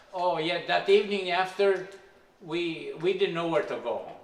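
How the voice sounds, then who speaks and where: Amid audible room echo and noticeable background noise, a man with a non-native accent talks at a moderate pace. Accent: foreign. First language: not English. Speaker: immigrant telling his life story. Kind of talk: life story interview. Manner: halting.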